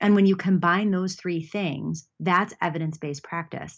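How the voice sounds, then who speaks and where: With an unremarkable speaking voice, a woman delivers her words at a moderate pace and with ordinary pitch variation. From US, Buffalo New York. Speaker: athletic trainer and physical therapist. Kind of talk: interview. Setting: video call.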